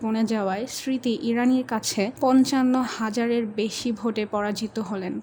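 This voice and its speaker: With fairly even intonation and a fairly high pitch, a woman speaks as noticeable background noise carries on behind her. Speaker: voice acting student. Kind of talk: news documentary narration.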